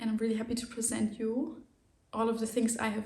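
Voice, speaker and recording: In a German accent, a woman speaks at a fairly high pitch in a monotone, flat way, sounding somewhat breathy. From Germany. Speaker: knitting podcaster. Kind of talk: casual chat.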